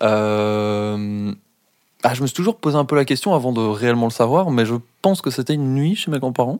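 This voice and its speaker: A man's normal speaking voice at a medium pitch, moderate in pace with ordinary pitch variation. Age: 20s. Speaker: podcast guest. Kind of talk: casual chat.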